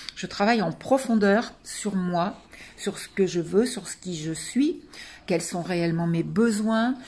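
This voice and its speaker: A woman speaks very slowly in a somewhat breathy voice. Her loudness swings widely. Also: medium pitch for a woman, ordinary pitch variation. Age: 60s. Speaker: coaching client giving a testimonial. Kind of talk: testimony. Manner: hesitant, many fillers.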